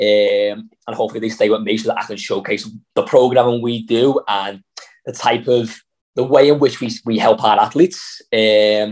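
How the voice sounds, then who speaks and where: Speaking with a Liverpool accent, a man keeps a moderate pace, medium pitch and fairly even intonation. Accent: Scouse. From Liverpool, England. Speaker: CrossFit athlete and coach. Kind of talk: interview.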